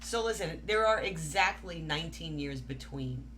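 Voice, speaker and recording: In a New York accent, a woman speaks in an animated tone over audible room echo. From New York, Staten Island. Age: 50s. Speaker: podcast co-host. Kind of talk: casual chat.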